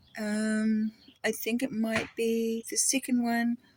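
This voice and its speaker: A woman with a fairly high pitch speaks at a very slow pace in a monotone, flat intonation, somewhat breathy, with a dry, close sound and no echo. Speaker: video blogger. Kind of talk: casual monologue. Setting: outdoors. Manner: halting.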